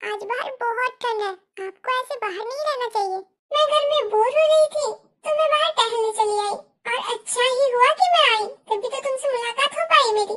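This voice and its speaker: This is a put-on character voice. It moves at a fairly quick pace. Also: woman, extremely high pitch for a woman. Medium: fan dub. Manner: sweet, affectionate.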